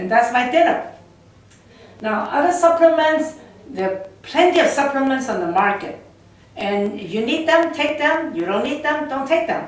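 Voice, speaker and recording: Over noticeable background noise and audible room echo, a woman speaks at a moderate pace in a high pitch with very wide pitch swings. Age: 60s. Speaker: product distributor. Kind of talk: sales pitch. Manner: halting.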